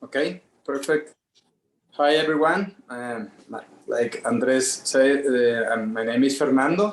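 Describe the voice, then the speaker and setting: Speaking fairly slowly with a Spanish accent, a man uses a medium pitch and ordinary pitch variation. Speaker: artist. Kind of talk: personal story on group call. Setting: video call. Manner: halting.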